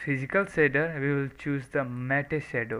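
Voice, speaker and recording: With a bright, sharp tone, this man talks. He has a non-native accent. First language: not English. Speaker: software tutorial maker. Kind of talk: tutorial. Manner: soft-spoken, not full volume.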